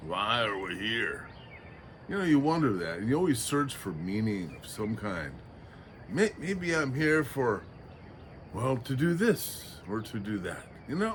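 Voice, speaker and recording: Very wide pitch swings at a fairly slow pace, with long, frequent pauses and audible room echo. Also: man, medium pitch for a man. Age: 60s. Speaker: vlogger. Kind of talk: casual reflective monologue. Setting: outdoors at sunrise by the ocean. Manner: halting, frequent fillers.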